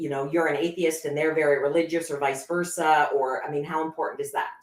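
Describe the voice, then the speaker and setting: A woman talks very fast in a very deep, low voice with monotone, flat intonation. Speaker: show host. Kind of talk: casual chat. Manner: loud.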